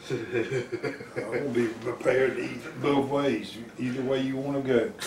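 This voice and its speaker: Fairly slow male speech amid noticeable background noise and audible room echo. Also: medium pitch for a man. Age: 70s. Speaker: radio show host. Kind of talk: casual chat. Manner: animated.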